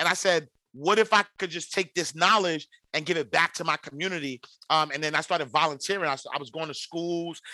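With an American accent, a man talks in a high voice at a fairly quick pace. His tone is energetic and bright and sharp, with a dry, close sound with no echo. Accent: New York inner-city. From New York City, Harlem. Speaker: financial educator and podcaster. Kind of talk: casual interview.

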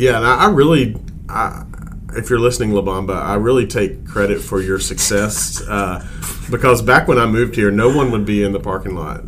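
With an American accent, a man speaks at a moderate pace and a fairly low pitch with ordinary pitch variation, amid noticeable background noise and audible room echo. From Alabama, Jasper. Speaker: student pastor. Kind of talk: casual chat.

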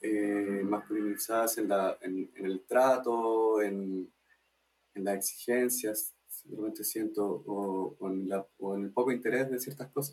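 A man speaks at a very slow pace with a fairly low pitch. His intonation stays fairly even. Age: 20s. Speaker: arts cooperative member. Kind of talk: casual interview.

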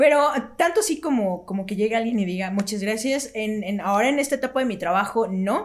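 Fairly quick and lively in intonation, a woman speaks at a fairly high pitch. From Mexico. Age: 30s. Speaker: radio announcer. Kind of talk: casual chat.

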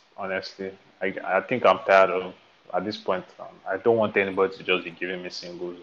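Talking at a very fast pace, a man with a very deep, low voice keeps a monotone, flat intonation while his volume swings widely. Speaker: music podcast co-host. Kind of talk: casual chat.

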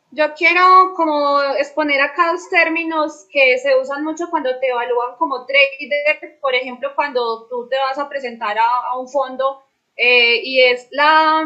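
A woman's raised, projected voice, high in pitch and bright and sharp in tone, at a fairly slow pace with ordinary pitch variation. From Colombia, Medellín. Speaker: crypto trader. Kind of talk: panel discussion.

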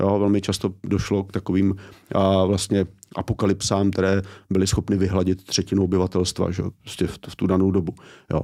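A man speaks at a fairly quick pace with a very deep, low pitch and a dark, mellow tone. His intonation is monotone and flat, in a very clean recording over a silent background. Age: 40s. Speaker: author and education commentator. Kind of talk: interview conversation. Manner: hesitant with fillers.

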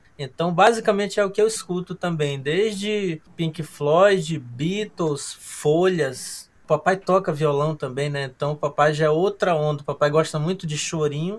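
A man talks at a fairly slow pace in a normal speaking voice, with hardly any pauses. His pitch is fairly high, with ordinary variation. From Amazonas, northern Brazil. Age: 30s. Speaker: musician, cellist. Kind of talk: casual podcast interview.

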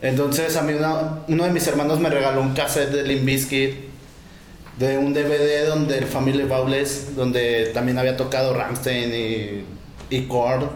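Amid noticeable background noise and audible room echo, a man speaks at a medium pitch and a fairly slow pace, with fairly even intonation and very even loudness. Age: 20s. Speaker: rapper and video maker. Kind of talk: casual interview.

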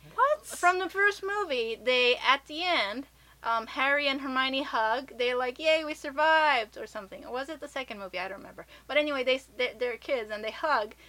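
This woman has a high pitch and a bright, sharp tone, with an American accent. Her voice is raised and projected at a moderate pace, with lively intonation and big swings in loudness. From Japan and US. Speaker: podcast host. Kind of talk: casual chat.

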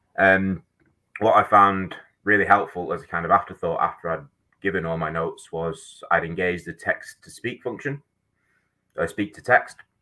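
In a Manchester accent, the speaker moves at a moderate pace with long, frequent pauses. Loudness swings widely throughout. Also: man. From Manchester, England. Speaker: high school teacher. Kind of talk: webinar talk. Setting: video call.

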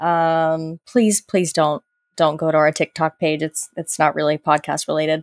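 Using an American accent, a woman speaks at a moderate pace in a very deep, low voice with fairly even intonation, the sound dry and close with no echo on a very clean recording with a silent background. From Florida, US South. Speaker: podcast host. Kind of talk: casual chat.

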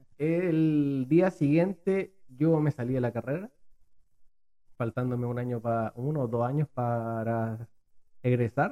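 The tone is dark and mellow. The sound is dry and close, with no echo. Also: man. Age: 20s. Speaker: entrepreneur. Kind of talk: podcast interview.

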